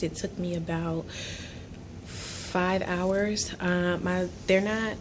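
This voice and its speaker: A woman speaks quietly at a very slow pace and a fairly low pitch. Her intonation is monotone and flat, with audible room echo. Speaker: beauty vlogger. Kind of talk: casual vlog ramble. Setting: office at work. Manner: quiet, talking low; hesitant, many ums.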